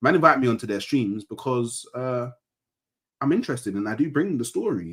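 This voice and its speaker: A man talks at a fairly quick pace in a London accent. His pitch swings very widely. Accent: London multicultural English. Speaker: football fan YouTuber. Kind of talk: casual panel banter. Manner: calm, measured; documentary-style storytelling.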